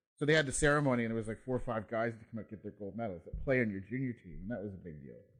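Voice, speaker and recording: A man speaks very fast in an Ontario accent, at a medium pitch. His pitch varies in an ordinary way while his loudness swings widely. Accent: Canadian (Ontario). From Canada, Ontario (Peterborough / Kawarthas area). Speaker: former ice hockey player. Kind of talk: casual chat.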